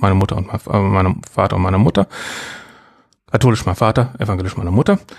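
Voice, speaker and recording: A man with a dark, mellow tone. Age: 40s. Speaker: podcaster, podcast association chair. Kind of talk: casual chat, life story. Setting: home studio.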